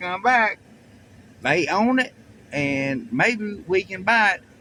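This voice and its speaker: A man's very slow speech with lively intonation, against noticeable background noise. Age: 60s. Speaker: vlogger. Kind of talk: casual vlog narration. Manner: halting.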